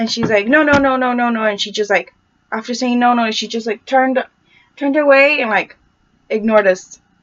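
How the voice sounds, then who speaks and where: A woman's high-pitched voice at a fairly quick pace, with fairly even intonation. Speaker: student doing a class project. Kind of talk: personal account to camera. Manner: stutter; halting, with repetitions.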